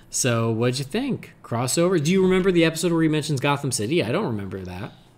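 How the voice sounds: A man with a fairly high pitch, lively intonation and a fast pace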